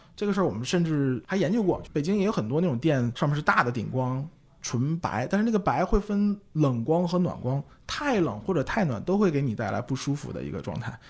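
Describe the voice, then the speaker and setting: At a fairly quick pace, a man speaks with a fairly high pitch and very wide pitch swings. The background is silent on this very clean recording. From China. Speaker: comic bookstore owner. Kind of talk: casual chat.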